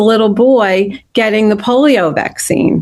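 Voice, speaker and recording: Woman's plain, everyday voice, fairly high in pitch, at a moderate pace. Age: 60s. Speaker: nurse and grandparent advocate. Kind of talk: panel interview.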